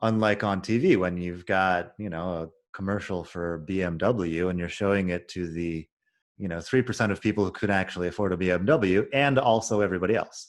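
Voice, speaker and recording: A man with a very deep, low pitch, talking at a fairly quick pace against a quiet background. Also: ordinary pitch variation. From United States. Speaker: YouTuber and English teacher. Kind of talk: casual interview conversation.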